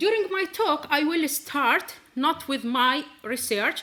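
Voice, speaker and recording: In a raised, projected voice, a woman with an Arabic accent speaks at a high pitch with lively intonation. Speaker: physics researcher. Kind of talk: scientific presentation. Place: stage.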